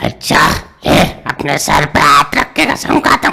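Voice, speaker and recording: This is a put-on character voice. It sounds raspy. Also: man, fairly high pitch for a man, moderate pace. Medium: comedy sketch. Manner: gruff and menacing yet childishly simple.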